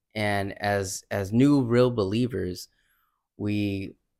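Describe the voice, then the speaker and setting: This man has a normal speaking voice, pitched fairly low, with fairly even intonation. The recording is very clean, with a silent background. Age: 20s. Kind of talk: casual religious chat.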